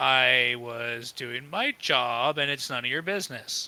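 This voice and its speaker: A put-on character voice, low-to-middle in pitch, at a fairly slow pace. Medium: actual play. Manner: curt, defiant.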